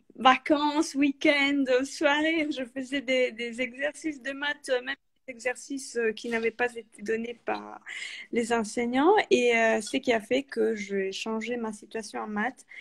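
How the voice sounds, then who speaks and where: A woman with an Italian accent talks at a very slow pace, her high pitch carrying ordinary variation. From Italy. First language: Italian (speaking French). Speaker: author and freelance project manager. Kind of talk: interview. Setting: live video call. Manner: hesitant, many fillers.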